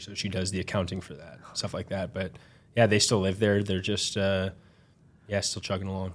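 The recording is very clean with a silent background. A man speaks at a fairly low pitch with monotone, flat intonation. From Minnesota, US. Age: 30s. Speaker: ice hockey goaltender. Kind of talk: casual interview.

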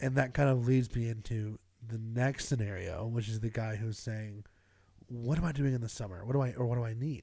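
With an American accent, the speaker has a dark, mellow tone and moves at a fairly quick pace. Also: man, medium pitch for a man, fairly even intonation, very clean recording, silent background. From US South, Greenville, South Carolina. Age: 20s. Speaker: podcast co-host. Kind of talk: casual chat. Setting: home studio in a garage.

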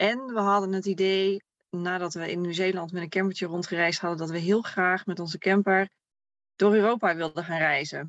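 With an ordinary speaking voice, a woman talks at a moderate pace and medium pitch, her intonation fairly even. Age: 30s. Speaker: camper traveler. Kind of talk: casual interview.

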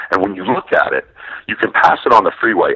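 A man speaks with an American accent. The sound is dry and close with no echo. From Wisconsin, Milwaukee. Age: 50s. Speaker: sports journalist and author. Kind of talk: interview.

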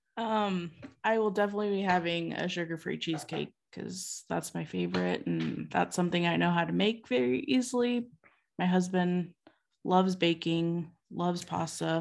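A woman speaks in a normal speaking voice at a fairly low pitch and a moderate pace, with ordinary pitch variation against a quiet background. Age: 30s. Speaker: type one diabetic. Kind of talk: casual chat.

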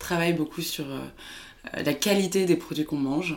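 A woman speaks with a very deep, low pitch and ordinary pitch variation. Vocal fry is present in her voice. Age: 20s. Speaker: startup co-founder. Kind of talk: interview. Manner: hesitant, many filler sounds.

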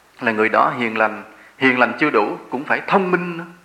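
A man speaks at a moderate pace. Audible room echo and noticeable background noise surround his voice. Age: 40s. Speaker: Buddhist monk giving a dharma talk. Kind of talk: sermon.

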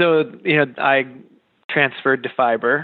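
Fairly slow, fairly even speech from a man with an American accent and a normal speaking voice. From Western Massachusetts. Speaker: artist and art educator. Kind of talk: interview.

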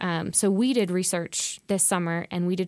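On a very clean recording with a silent background, a woman with an American accent uses an ordinary speaking voice, fairly low in pitch with fairly even intonation. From Texas. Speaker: university program director, advocacy board member. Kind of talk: podcast interview.

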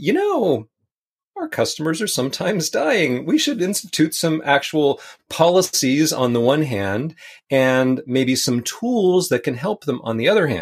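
In a plain, everyday voice, a man speaks at a fairly slow pace with lively intonation, on a very clean recording with a silent background. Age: 50s. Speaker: tech author. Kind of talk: interview.

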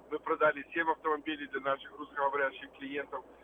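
A very fast-talking man with a fairly high pitch, amid noticeable background noise. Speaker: car dealer. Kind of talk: radio ad. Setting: phone call.

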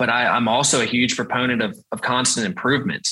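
Talking at a very fast pace, a man with a Southern US accent has a bright, sharp tone. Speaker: sales team leader. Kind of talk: interview.

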